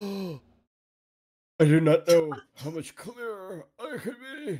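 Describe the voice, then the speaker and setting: Putting on a character voice, a man speaks at a high pitch and a very slow pace. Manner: slow, solemn.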